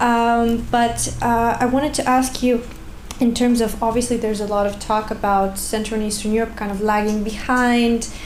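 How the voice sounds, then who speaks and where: Amid noticeable background noise and audible room echo, a woman with a fairly high pitch speaks at a moderate pace in a monotone, flat intonation. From Bulgaria. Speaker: researcher, audience member asking a question. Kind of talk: conference Q&A question.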